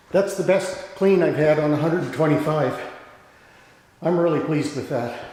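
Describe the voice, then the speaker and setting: A man with a fairly high-pitched voice is heard through noticeable background noise. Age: 60s. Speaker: novice weightlifter. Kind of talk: casual talk while filming workout.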